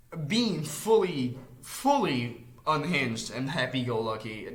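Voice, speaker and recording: A medium-pitched man talks with audible room echo and noticeable background noise in the recording. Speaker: YouTuber reacting to a web series. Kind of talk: casual reaction commentary. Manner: stuttering, halting.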